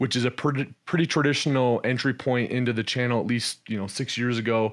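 At a fairly quick pace, a man speaks in a normal speaking voice with medium pitch and ordinary variation, in a very clean recording with a silent background. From Canada. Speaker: e-commerce entrepreneur and investor. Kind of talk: casual interview.

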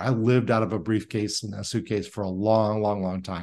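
A man speaks fairly quickly at a medium pitch, in a US Midwestern accent. The background is quiet. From Indiana, US Midwest. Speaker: sales consultant and CEO. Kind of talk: interview conversation. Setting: video call.

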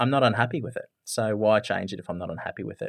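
A man in an Australian accent at a very fast pace, ordinary pitch variation, quiet background. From rural Australia. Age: 30s. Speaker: business marketing strategist. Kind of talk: interview.

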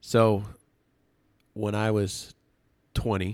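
A man's monotone, flat delivery with an American accent, in a very clean recording with a silent background. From Massachusetts, Medfield (Metro West Boston). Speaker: bar and restaurant owner. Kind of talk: casual chat.

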